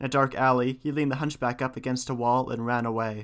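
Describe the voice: The speaker is doing plain reading aloud. The intonation stays fairly even.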